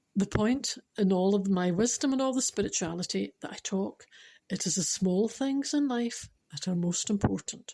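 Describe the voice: Plain reading aloud. The background is quiet.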